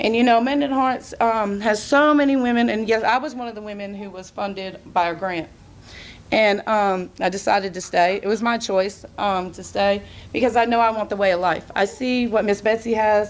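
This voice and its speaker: Speaking at a moderate pace, a woman has a fairly high pitch and ordinary pitch variation. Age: young. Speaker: recovering addict giving testimony. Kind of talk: testimony. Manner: loud.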